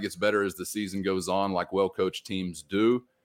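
Words come out at a very fast clip. The recording is very clean and the background is silent. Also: man. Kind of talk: sponsor ad read, upbeat salesy pitch. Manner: animated, fast, upbeat, polished.

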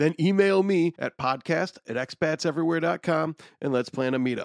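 A man with an American accent has an unremarkable speaking voice, fairly high in pitch with ordinary pitch variation. The sound is dry and close, with no echo. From Illinois, US. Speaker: podcast producer. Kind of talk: podcast intro and chat.

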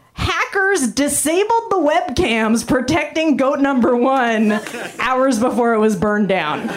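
A woman talks fairly slowly at a high pitch, with very wide pitch swings. Noticeable background noise and audible room echo surround her. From Canada. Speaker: stand-up comedian. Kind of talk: stand-up. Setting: stage with audience.

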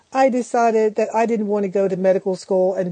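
Over noticeable background noise, a woman with an American accent talks at a fairly quick pace in a monotone, flat intonation. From Philadelphia, US. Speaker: professor. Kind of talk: interview. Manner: halting, many fillers.

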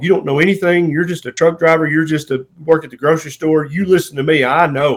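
Speaking fairly quickly in a Southern US accent, a man shows ordinary pitch variation on a very clean recording with a silent background. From US South. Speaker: family physician. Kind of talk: interview conversation.

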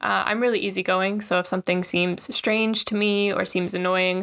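A woman talks at a fairly quick pace and a medium pitch, in a monotone with flat intonation. The sound is dry and close, with no echo. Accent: Newfoundland. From Newfoundland, Canada. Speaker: Instagram travel creator living in Japan. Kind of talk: interview.

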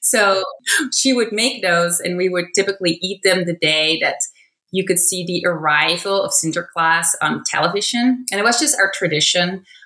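A woman with a Dutch accent, at a moderate pace and medium pitch, with ordinary pitch variation. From Netherlands. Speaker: chief editor. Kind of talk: personal testimony.

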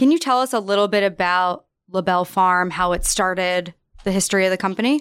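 Someone with an American accent talks at a very fast pace with very even loudness and ordinary pitch variation. The recording is very clean, with a silent background. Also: woman, medium pitch for a woman. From New York. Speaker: podcast co-host. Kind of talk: casual chat and interview.

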